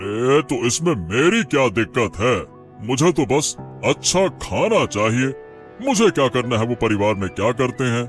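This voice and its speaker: A man's medium-pitched, cartoonish character voice at a moderate pace, with clear music in the background. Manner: assured, commanding.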